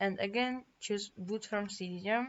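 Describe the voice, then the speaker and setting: A woman with a non-native accent speaks at a fairly slow pace. Her pitch sits in the medium range. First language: not English. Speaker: tech tutorial youtuber. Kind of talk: tutorial. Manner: halting.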